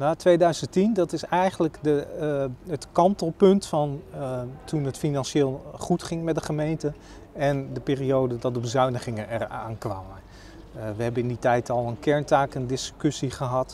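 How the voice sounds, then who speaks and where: With light background noise and a dry sound with no echo, a man speaks at a moderate pace in a fairly high voice with ordinary pitch variation. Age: 40s. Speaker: local politician. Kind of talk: interview. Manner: hesitant, many filler sounds. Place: street. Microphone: lapel.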